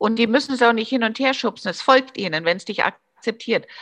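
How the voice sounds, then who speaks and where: The woman's pitch is fairly high. She speaks at a fairly quick pace. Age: 50s. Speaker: commercial film director. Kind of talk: interview. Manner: hesitant, many fillers.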